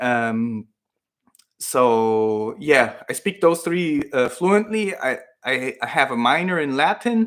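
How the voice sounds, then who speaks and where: The recording is very clean, with a silent background. A man with a fairly high pitch speaks at a very slow pace, his pitch swinging very widely. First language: Spanish. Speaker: fitness YouTuber. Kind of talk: live Q&A stream. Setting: livestream at home computer. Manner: casual, hesitant with fillers.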